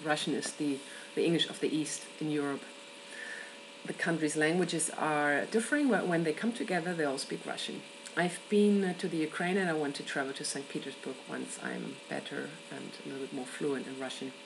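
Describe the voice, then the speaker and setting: Amid noticeable background noise and audible room echo, a woman with a German accent talks at a fairly quick pace in a very deep, low pitch with ordinary pitch variation. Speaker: event worker and traveller. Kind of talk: personal video answer to a question.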